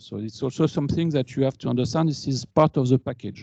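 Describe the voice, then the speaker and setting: A man with a French accent has a dark, mellow tone and ordinary pitch variation, recorded with a dry, close sound and no echo. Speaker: engineer and alumni speaker. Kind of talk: conference talk. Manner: halting.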